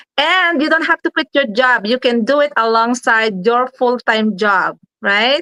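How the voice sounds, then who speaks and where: With a raised, projected voice, a woman talks at a fairly slow pace in a high pitch, her tone bright and sharp, her intonation lively, and the sound dry and close with no echo. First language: not English. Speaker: online business promoter. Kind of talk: livestream sales pitch. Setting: live stream.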